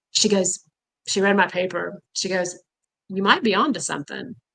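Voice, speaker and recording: Her tone bright and sharp, a woman speaks at a fairly low pitch with fairly even intonation. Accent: Texan. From Texas, Houston. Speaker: caffeine quitting supporter. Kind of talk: casual chat. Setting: livestream.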